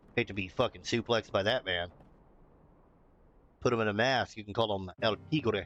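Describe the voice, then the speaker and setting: Music plays behind a man with a fairly low pitch and fairly even intonation. He keeps a moderate pace with long, frequent pauses. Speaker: video game streamer. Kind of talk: live gameplay commentary. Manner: casual, profane.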